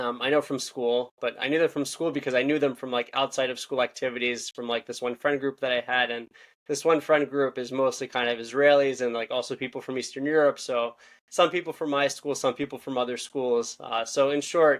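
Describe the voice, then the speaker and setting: Someone with a Philadelphia accent talks at a fairly quick pace in a flat monotone. The recording is very clean, with a silent background. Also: man, medium pitch for a man. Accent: Philadelphia-area American. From US, Philadelphia suburbs. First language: Hebrew and Russian. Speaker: podcast host. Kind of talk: interview. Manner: fast.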